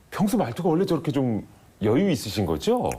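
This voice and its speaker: A man talks at a very fast pace with very wide pitch swings. His tone is dark and mellow, with vocal fry. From Daejeon, Chungcheong region, Korea. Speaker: TV show host. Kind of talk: studio talk show interview. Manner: animated.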